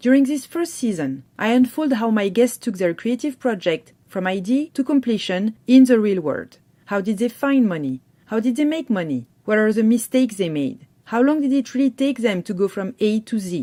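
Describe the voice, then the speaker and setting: In a French accent, a woman speaks at a moderate pace with hardly any pauses. Her fairly high pitch swings very widely, in a dark, mellow tone. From France. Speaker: podcast host. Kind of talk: scripted podcast intro.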